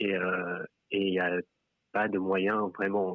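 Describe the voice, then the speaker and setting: This is a man's voice. It sits at a fairly low pitch. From France. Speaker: member of the public telling his story. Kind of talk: personal testimony in a live stream conversation.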